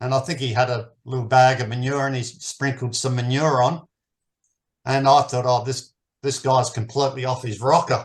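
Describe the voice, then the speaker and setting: Here a man speaks with an Australian accent. His intonation is monotone and flat, his sound somewhat breathy. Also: medium pitch for a man, moderate pace. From Australia, New South Wales. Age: 60s. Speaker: permaculture teacher. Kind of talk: interview.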